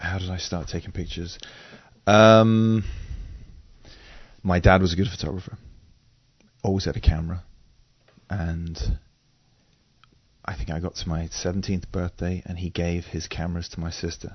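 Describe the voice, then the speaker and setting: A man with a slight English accent and a very deep, low pitch, moderate pace, fairly even intonation and long, frequent pauses. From England. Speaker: photographer and drummer. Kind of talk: interview conversation.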